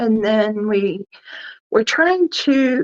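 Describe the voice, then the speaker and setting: A woman speaks with a fairly high pitch. The sound is dry and close, with no echo. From Idaho, McCall. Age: 60s. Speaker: bigfoot researcher. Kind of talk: podcast interview, personal story.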